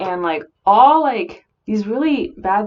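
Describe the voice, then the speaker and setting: A woman is mumbling. Her pitch shows ordinary variation. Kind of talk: casual talk to camera. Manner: mumbled.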